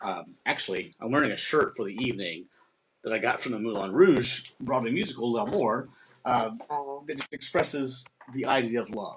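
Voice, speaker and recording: A man talks at a moderate pace with a medium pitch. Light background noise sits behind him. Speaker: performing arts director and host. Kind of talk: live stream host intro. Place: home room. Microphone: webcam.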